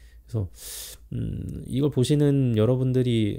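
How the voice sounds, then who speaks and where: The recording is very clean with a silent background. A man speaks at a moderate pace and medium pitch, his tone dark and mellow. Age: 40s. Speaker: vlogger. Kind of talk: self-interview monologue. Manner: halting, with many fillers.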